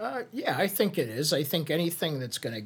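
With a Chicago accent, a man talks at a moderate pace, his voice somewhat breathy and his intonation lively. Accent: Chicago-area American. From US Midwest, Chicago area. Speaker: social media strategist. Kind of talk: casual interview.

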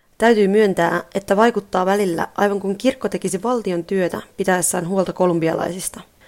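This woman talks at a moderate pace in a normal speaking voice, with medium pitch and ordinary pitch variation. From Finland. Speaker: radio presenter and mission communications specialist. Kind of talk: scripted narration.

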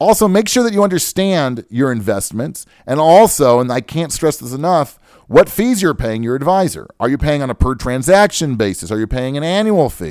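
In a very clean recording with a silent background, a man speaks at a moderate pace. His pitch swings very widely. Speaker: radio host and financial advisor. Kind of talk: radio talk show monologue. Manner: halting, tongue-tied.

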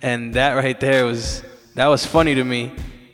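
This man speaks with an American accent. His intonation is monotone and flat. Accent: US urban, hip hop flavored. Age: 20s. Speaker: radio host and DJ. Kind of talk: laid-back radio DJ patter: warm shout-outs, track intros, hype phrases. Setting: home studio, live online stream.

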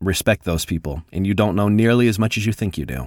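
An unremarkable speaking voice from a man, fairly low in pitch, at a fairly quick pace with ordinary pitch variation, in a very clean recording with a silent background and a dry, close sound with no echo. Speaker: voiceover artist and audiobook narrator. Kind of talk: casual interview.

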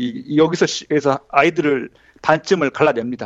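Using an ordinary speaking voice, a man talks at a moderate pace with a fairly high pitch. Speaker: graduate student and former IT journalist. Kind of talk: casual interview chat.

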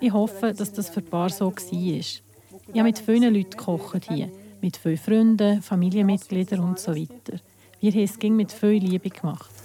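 Using an ordinary speaking voice, a woman talks at a moderate pace in a medium pitch with fairly even intonation. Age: 40s. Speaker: volunteer cook for bands. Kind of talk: interview testimony.

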